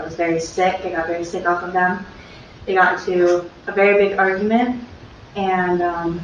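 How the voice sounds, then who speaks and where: A woman at a medium pitch speaks in a monotone, flat way. Noticeable background noise and audible room echo are present. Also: moderate pace. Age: 20s. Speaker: trial witness. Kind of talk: court testimony. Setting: courtroom. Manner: soft-spoken; hesitant. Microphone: courtroom speaker mic, too quiet.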